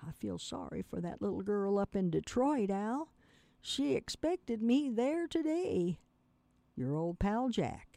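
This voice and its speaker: A woman with a medium pitch and a dark, mellow tone speaks at a fairly slow pace with very wide pitch swings, in a dry, close sound with no echo. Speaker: radio host and reader. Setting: radio studio, streamed online. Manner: relaxed, conversational host.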